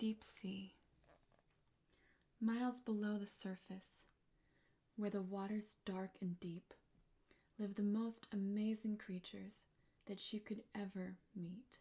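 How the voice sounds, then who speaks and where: Soft-spoken and very slow, this voice leaves long, frequent pauses. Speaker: ASMR artist. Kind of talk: bedtime story reading. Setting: studio.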